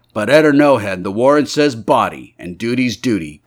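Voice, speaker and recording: In a put-on character voice, a man speaks at a medium pitch with lively intonation. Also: moderate pace. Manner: stolid, matter-of-fact.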